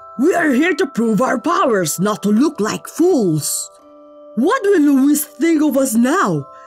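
Clear music plays behind a put-on character voice that is high in pitch and moves at a fairly slow pace. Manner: angry, shouting.

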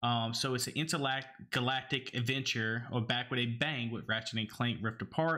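With an Alabama accent, a man speaks at medium pitch and a moderate pace, his tone bright and sharp, his intonation fairly even, against a quiet background. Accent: Alabama Southern. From Alabama, Cajun family from New Orleans. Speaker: gaming podcast co-host; podcast host. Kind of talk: casual chat. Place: home room. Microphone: studio mic.

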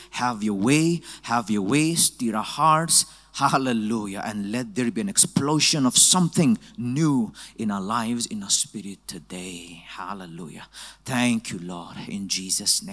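A man delivers his words fairly slowly, with little else to hear in the quiet background. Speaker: preacher. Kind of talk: sermon. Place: church. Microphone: handheld.

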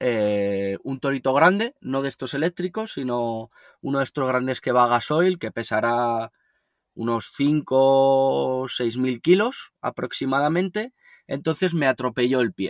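An unremarkable speaking voice with lively intonation at a fairly slow pace. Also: man, medium pitch for a man, dry, close sound with no echo. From northern Spain, Logroño. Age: 30s. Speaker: van lifer and writer. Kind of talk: interview. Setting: remote call.

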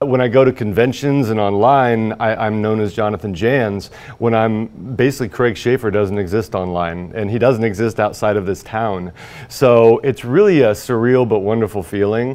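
A man with an American accent, medium pitch, ordinary pitch variation, and a moderate pace. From Indiana, US Midwest. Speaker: high school teacher and horror novelist; teacher. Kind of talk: news interview soundbites. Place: studio. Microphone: lapel.

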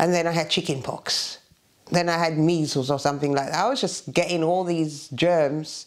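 A woman's very deep, low voice over a quiet background. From Jamaica. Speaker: Windrush generation migrant. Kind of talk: oral history interview answer. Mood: emotional, at times tearful. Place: home room.

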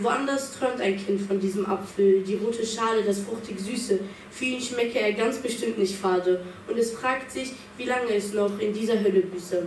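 Fairly high-pitched female speech at a moderate pace, fairly even in intonation, against noticeable background noise. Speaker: slam poet. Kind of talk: spoken word poetry slam performance, rhymed and rhythmic, with a refrain. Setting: stage with audience. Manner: measured, building to a pointed refrain; earnest, reflective, with dramatic pauses.

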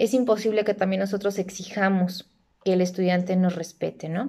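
A woman's medium-pitched voice with fairly even intonation against a quiet background. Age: 30s. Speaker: university lecturer and accountant; teacher. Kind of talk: self-introduction video. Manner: hesitant, with frequent fillers. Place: home room. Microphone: phone near.

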